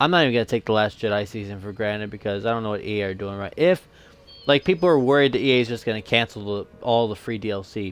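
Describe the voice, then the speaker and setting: A man's lively intonation with music in the background. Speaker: gaming podcast host. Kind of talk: casual chat. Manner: stuttering when agitated.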